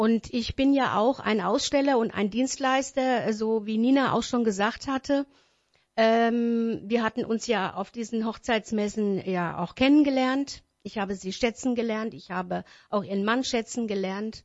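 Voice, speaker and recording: Her pitch fairly high for a woman, she talks at a fairly slow pace with ordinary pitch variation. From Wächtersbach, Hesse, Germany. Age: 50s. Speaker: wedding singer and event organizer. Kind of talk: radio interview. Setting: radio studio. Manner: hesitant, many fillers.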